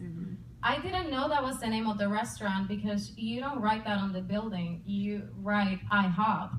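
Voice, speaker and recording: Over noticeable background noise and audible room echo, a woman with a Puerto Rican accent talks in a fairly high pitch with lively intonation. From Puerto Rico. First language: Spanish. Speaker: comedian and army veteran. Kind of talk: stand-up. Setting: stage with audience.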